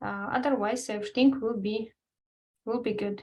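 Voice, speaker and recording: A woman with a non-native accent speaks at a high pitch. She keeps a moderate pace and fairly even intonation. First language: not English. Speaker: nail art educator. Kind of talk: webinar.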